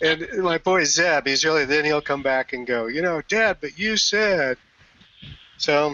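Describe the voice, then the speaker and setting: The speaker uses lively intonation at a fairly slow pace. Noticeable background noise runs beneath the voice. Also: man. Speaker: community leader. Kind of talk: casual chat.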